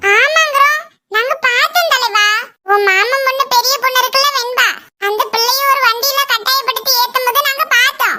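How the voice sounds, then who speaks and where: A cartoonish character voice with an extremely high pitch talks at a fairly slow pace. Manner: wheedling, repeats the word for boss.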